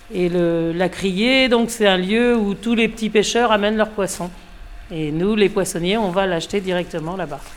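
A woman talks at a fairly slow pace in an unremarkable speaking voice. Her pitch sits in the medium range and varies in an ordinary way. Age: 50s. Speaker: fishmonger. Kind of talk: casual interview.

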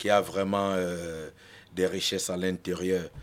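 In a very clean recording with a silent background, a man speaks very slowly in a fairly low, monotone, flat voice. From Cameroon. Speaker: rapper. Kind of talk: interview.

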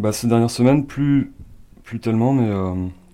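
A man speaks in a dark, mellow tone at a medium pitch. His pace is fairly quick, with ordinary pitch variation. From France. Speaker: home cook. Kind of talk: casual chat. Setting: kitchen. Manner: halting.

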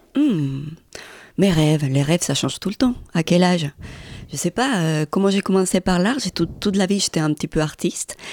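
With a Colombian accent, a woman speaks at a moderate pace in a fairly low pitch. Her intonation is lively. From Colombia, Medellín. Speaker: artist and photographer. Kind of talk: interview.

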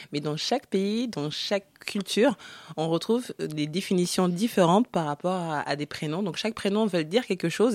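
A woman with a normal speaking voice, fairly low in pitch, with lively intonation at a moderate pace, in a dry, close sound with no echo on a very clean recording with a silent background. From Africa (Congo). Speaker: author. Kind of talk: radio interview.

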